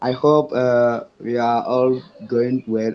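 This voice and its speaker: A man with a French accent speaks at medium pitch. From Benin. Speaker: student developer club lead. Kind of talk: short speech in an online meeting. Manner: halting, many fillers.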